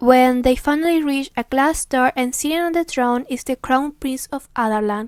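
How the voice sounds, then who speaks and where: A woman speaks with a Spanish accent at a high pitch, with ordinary pitch variation and hardly any pauses. The sound is dry and close, with no echo. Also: moderate pace. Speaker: booktuber. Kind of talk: book plot recap. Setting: recorded at home in front of camera. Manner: occasionally halting.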